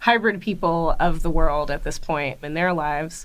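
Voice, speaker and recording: In a North American accent, the speaker goes at a moderate pace with ordinary pitch variation, and audible room echo surrounds the voice. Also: woman. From grew up in many places, mostly USA (New York). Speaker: museum curator. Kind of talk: interview conversation. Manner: casual, many fillers.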